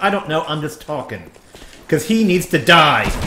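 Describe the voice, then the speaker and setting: A man talks with an American accent. Background noise is clearly audible. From New Jersey. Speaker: video game streamer. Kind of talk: live gameplay commentary. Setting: live stream. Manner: animated.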